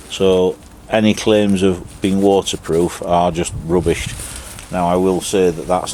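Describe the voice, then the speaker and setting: A man's very deep, low voice with an English accent, flat and monotone, at a fairly slow pace over noticeable background noise. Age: 50s. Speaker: YouTuber reviewing gear. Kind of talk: casual product review. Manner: casual, chatty.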